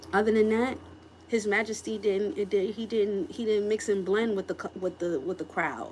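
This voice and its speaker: Moderately paced speech from a woman, medium in pitch, its pitch varying in an ordinary way. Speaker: tarot reader. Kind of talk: tarot reading. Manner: animated.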